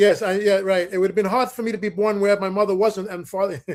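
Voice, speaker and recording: With a New York accent, a man talks at a fairly quick pace in a high pitch. His intonation is fairly even. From US Northeast, the Bronx, New York. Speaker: musician, saxophonist. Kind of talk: interview.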